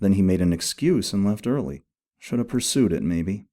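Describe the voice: Over a quiet background, the text is given a plain reading aloud.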